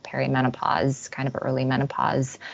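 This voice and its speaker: A woman with a very deep, low voice speaks at a moderate pace against noticeable background noise. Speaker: naturopathic doctor. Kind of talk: webinar presentation. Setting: online webinar.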